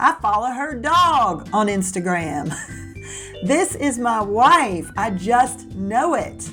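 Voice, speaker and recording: With an American accent, a woman talks as music sounds in the background. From Southern US. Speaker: podcast host. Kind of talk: podcast intro to camera.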